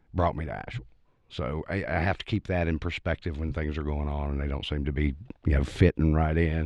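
Over a quiet background, a man with a very deep, low pitch talks at a very fast pace with fairly even intonation. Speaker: busker musician. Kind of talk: casual chat. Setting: studio.

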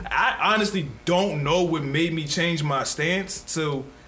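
There is noticeable background noise and audible room echo. A man talks at a fairly slow pace with ordinary pitch variation. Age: 30s. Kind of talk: casual chat.

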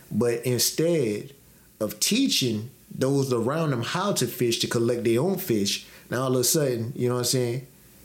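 At very even loudness, a man with a medium pitch has a plain, everyday voice. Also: ordinary pitch variation, moderate pace. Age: 30s. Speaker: podcast co-host. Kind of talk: casual chat.

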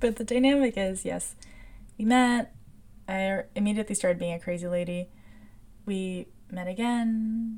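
A woman's somewhat breathy voice at medium pitch with ordinary variation, a moderate pace and long, frequent pauses. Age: 20s. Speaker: podcast host. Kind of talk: personal monologue.

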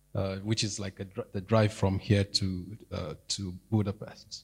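A man speaks at a very slow pace and a fairly low pitch. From Nigeria. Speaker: church member. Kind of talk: testimony. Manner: halting.

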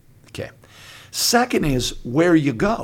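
Very wide pitch swings from a man at a fairly slow pace. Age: 60s. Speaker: pastor. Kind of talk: casual chat.

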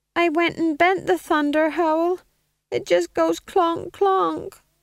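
This is a put-on character voice with an extremely high pitch. The pace is fairly slow. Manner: apologetic, plaintive.

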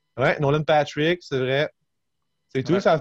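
Heard close up in a dry sound with no echo, a man speaks. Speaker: podcast co-host. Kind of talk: casual chat. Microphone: connection glitch.

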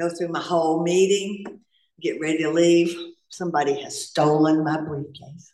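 A woman's fairly low voice with a Southern US accent at a moderate pace. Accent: Southern US, noticeable. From US South (North Carolina). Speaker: recovering alcoholic speaker. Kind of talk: AA share/testimony. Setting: stage with audience at meeting.

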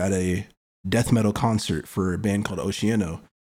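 On a very clean recording with a silent background, a man with a fairly low pitch speaks at a fairly quick pace in a plain, everyday voice. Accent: American. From Kansas City, US Midwest. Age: 20s. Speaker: rapper. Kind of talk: casual interview.

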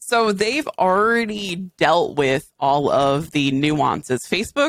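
Speaking very slowly with an American accent, a woman uses lively intonation, and the sound is dry and close with no echo. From Western Massachusetts. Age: 30s. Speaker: gaming streamer. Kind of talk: casual chat.

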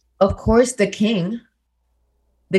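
A woman's somewhat breathy, medium-pitched voice with a non-native accent and fairly even intonation. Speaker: podcast co-host.

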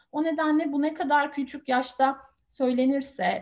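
A woman speaks at a high pitch. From Turkey, small town. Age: 30s. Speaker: research assistant, adoptee. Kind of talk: interview.

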